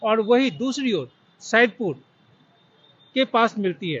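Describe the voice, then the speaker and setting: An extremely high-pitched man's voice with ordinary pitch variation. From Bihar, Darbhanga. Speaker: journalist and vlogger. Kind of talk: vlog tribute monologue. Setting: outdoors at a cemetery.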